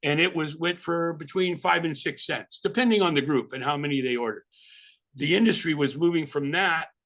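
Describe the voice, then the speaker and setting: Against a quiet background, a man speaks at a fairly quick pace in a fairly high voice with ordinary pitch variation. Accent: slight New York. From California. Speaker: album cover designer. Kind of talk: interview. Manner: casual, animated.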